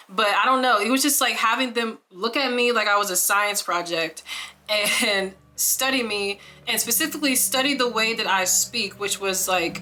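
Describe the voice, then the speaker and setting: At a moderate tempo and with ordinary pitch variation, a woman speaks over noticeable background noise. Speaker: singer-songwriter and video diarist. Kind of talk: casual sit-down chat. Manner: halting, many fillers and repetitions.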